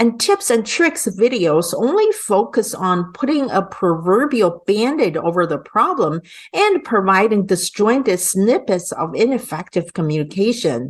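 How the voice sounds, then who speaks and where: A woman with a non-native accent at a fairly high pitch, very wide pitch swings, fairly slow pace, and hardly any pauses. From immigrant to an English-speaking country. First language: not English. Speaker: English and public speaking coach. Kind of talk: sales pitch.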